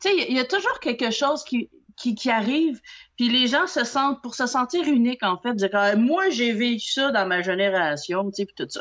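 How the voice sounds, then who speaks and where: In a Quebec accent, a woman speaks with a high pitch and very wide pitch swings. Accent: Québécois French. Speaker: nail technician and trainer. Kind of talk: casual chat. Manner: animated.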